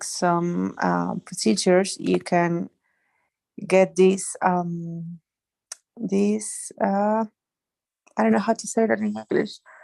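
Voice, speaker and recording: Someone with a Spanish accent speaks at a very slow pace, the sound dry and close with no echo. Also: woman. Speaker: doctor studying medical English. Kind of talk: class discussion. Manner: halting.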